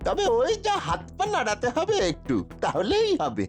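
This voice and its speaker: A cartoonish character voice at a moderate pace, with clear music in the background. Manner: wheedling, flattering.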